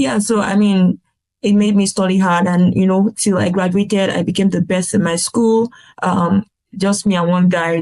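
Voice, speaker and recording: A woman's medium-pitched voice sounds somewhat breathy, with fairly even intonation. The sound is dry and close with no echo. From Nigeria. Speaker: pharmacist turned healthcare business consultant. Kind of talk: podcast interview answer.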